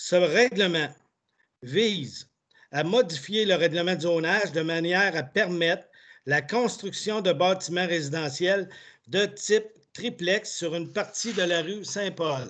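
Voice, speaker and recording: A man with a high pitch speaks at a very slow pace with long, frequent pauses and ordinary pitch variation against a quiet background. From Quebec. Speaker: municipal councillor. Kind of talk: formal reading of bylaws. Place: home room. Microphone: video call.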